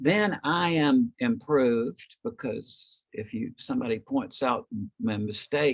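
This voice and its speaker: Very wide pitch swings mark this man's fairly high voice as he speaks at a very slow pace, the sound dry and close with no echo. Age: 70s. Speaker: author and consciousness researcher. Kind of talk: lecture. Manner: hesitant, with many fillers.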